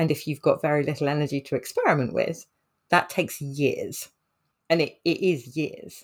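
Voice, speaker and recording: In a British accent, a woman speaks at a moderate pace on a very clean recording with a silent background. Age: 30s. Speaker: occupational therapist. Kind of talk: casual chat.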